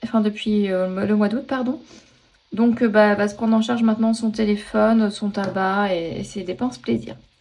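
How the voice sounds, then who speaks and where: Noticeable background noise sits behind a woman speaking at a moderate pace, her fairly high pitch held in fairly even intonation. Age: 40s. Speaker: personal finance vlogger. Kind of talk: casual budgeting tutorial. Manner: hesitant, many fillers.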